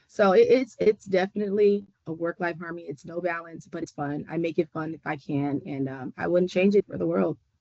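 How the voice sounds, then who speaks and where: A woman with an American accent and an ordinary speaking voice, fairly low in pitch with ordinary pitch variation, fairly quick with hardly any pauses, and big swings in loudness. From Southern California. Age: 30s. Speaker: community basketball coach, webinar panelist. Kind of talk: panel discussion.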